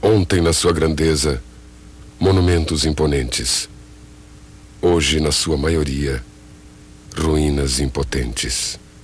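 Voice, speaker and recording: A man with a very deep, low pitch speaks at a very slow pace, with long, frequent pauses. His loudness stays very even over noticeable background noise. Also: ordinary pitch variation. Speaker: narrator. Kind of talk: poetic documentary narration.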